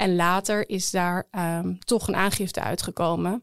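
It is a plain, everyday voice with fairly even intonation. The sound is dry and close, with no echo. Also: woman. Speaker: defense lawyer. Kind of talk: interview.

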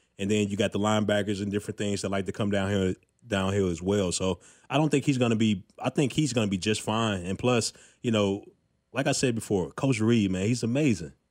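A plain, everyday voice in an American accent. Pitch moves with ordinary variation. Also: man, fairly low pitch for a man, very clean recording, silent background. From Chicago. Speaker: former NFL linebacker, sports podcast co-host. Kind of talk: casual sports talk chat. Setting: studio.

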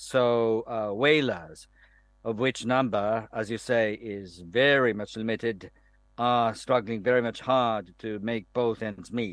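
A man with a Japanese accent at a medium pitch, speaking very slowly with fairly even intonation. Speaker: professor and foreign policy specialist. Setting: remote link from Tokyo. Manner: halting, hesitant, with fillers.

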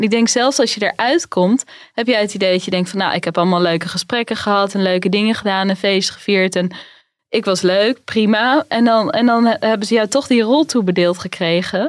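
A woman's medium-pitched voice moves fairly quickly, its pitch varying in an ordinary way. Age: 30s. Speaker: finance journalist. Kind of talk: casual chat.

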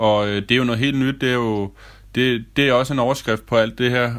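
On a very clean recording with a silent background, a man talks in a medium pitch with monotone, flat intonation. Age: 30s. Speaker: restaurant waiter and co-leaseholder. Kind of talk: self-recorded audio diary.

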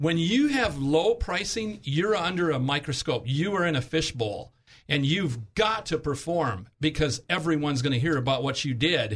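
An ordinary speaking voice from a man, fairly high in pitch with lively intonation, very even loudness, a moderate pace and hardly any pauses. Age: 60s. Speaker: health insurance agent. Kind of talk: radio interview.

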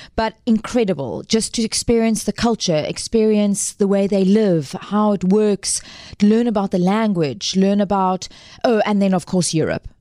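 A dark, mellow tone comes through at a moderate pace with very even loudness and a dry, close sound with no echo. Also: woman, medium pitch for a woman, ordinary pitch variation. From South Africa, Cape Town. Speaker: actress and musical theatre performer. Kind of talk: casual interview.

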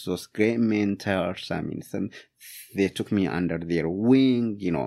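A man with an Ethiopian accent, fairly low pitch and ordinary pitch variation, at a fairly slow pace on a very clean recording with a silent background. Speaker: immigrant, public health student and professional. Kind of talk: casual interview conversation. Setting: studio.

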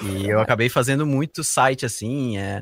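Here a man talks in a Santa Catarina accent at medium pitch, with ordinary pitch variation. The sound is dry and close, with no echo. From Santa Catarina, Brazil (Rio do Sul). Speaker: tech company CTO. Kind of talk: interview. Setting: remote podcast recording at night.

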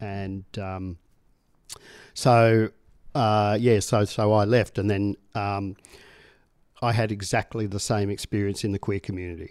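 On a very clean recording with a silent background, a man with an Australian accent speaks at a fairly low pitch in a monotone, flat way, leaving long, frequent pauses. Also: fairly slow pace. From Tasmania, Australia. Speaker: Anglican priest. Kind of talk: interview testimony. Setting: studio office, in person.

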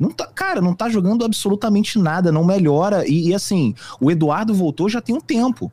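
A man speaks at a moderate pace with lively intonation, his voice dry and close with no echo. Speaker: football fan commentator. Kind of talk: casual sports discussion.

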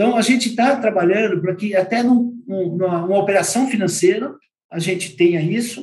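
A man's high-pitched voice with lively intonation. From Brazil, São Paulo city. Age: 50s. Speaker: business founder in tourism real estate. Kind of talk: interview. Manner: hesitant, many fillers.

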